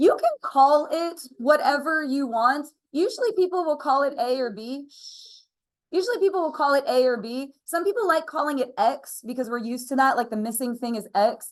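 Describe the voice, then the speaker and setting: High-pitched female voice with an American accent and lively intonation. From Pennsylvania, US. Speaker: math teacher. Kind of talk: classroom lecture. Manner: fast; casual, chatty.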